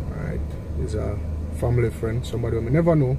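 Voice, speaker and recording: A man talks at a very fast pace. Noticeable background noise runs under him. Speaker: vlogger. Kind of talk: casual vlog chat. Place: car. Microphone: phone near.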